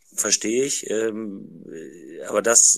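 On a very clean recording with a silent background, a man with a fairly low pitch speaks at a very slow pace. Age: 50s. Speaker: trained carpenter joining a live audio room. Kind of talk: casual discussion.

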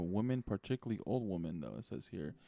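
In a normal speaking voice at a fairly quick pace, the speaker comes through with a dry, close sound, no echo, and a quiet background. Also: man. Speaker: podcast host. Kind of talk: casual chat.

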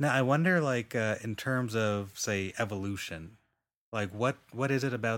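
A normal speaking voice, with ordinary pitch variation and a moderate pace, comes through in a very clean recording with a silent background. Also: man. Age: 30s. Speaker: podcast host. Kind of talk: casual chat.

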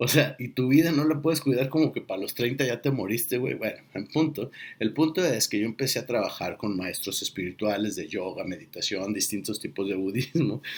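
A man's plain, everyday voice at a medium pitch, with lively intonation. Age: 40s. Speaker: podcast host. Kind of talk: casual monologue.

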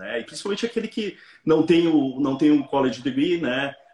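With lively intonation and an ordinary speaking voice, a man delivers his words at a moderate pace. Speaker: businessman and author. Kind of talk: casual interview. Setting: Instagram live video call.

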